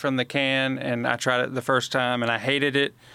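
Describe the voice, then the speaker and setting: A man speaks in a Southern US accent with a bright, sharp tone and a flat, monotone delivery. The recording is very clean, with a silent background. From Alabama, Montgomery. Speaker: extension specialist podcast co-host. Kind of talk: casual chat.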